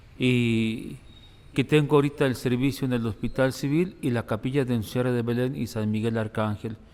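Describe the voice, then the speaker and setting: Medium-pitched male voice, moderate in tempo, its pitch rising and falling in an ordinary way. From Mexico, Guadalajara (Zapopan). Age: 60s. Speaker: priest, hospital chaplain. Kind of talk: interview testimony.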